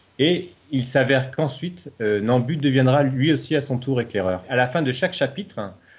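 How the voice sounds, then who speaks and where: The intonation is lively and the pace moderate. The voice sounds somewhat breathy. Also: man. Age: 40s. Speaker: novelist, reality show contestant. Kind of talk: interview. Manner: hesitant, with fillers.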